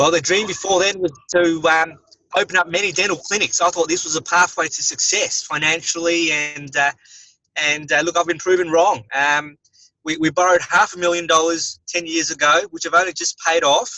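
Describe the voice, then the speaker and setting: Fairly quick speech in an Australian accent with fairly even intonation. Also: man, high pitch for a man. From Australia, Melbourne. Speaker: dentist and network marketer. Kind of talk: interview. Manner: hesitant, many fillers.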